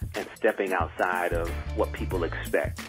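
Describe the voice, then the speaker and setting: Speaking at a moderate pace, a man is accompanied by clear background music. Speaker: guest. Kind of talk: interview answer.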